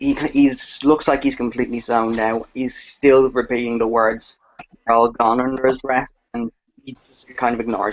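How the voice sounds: A natural reading voice with fairly even intonation and a quiet background.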